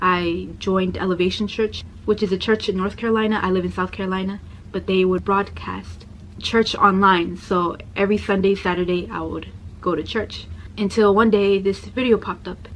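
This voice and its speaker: Noticeable background noise sits behind a woman's medium-pitched voice. She speaks at a moderate pace in a monotone, flat intonation. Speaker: convert sharing her story. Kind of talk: personal testimony. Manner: soft-spoken.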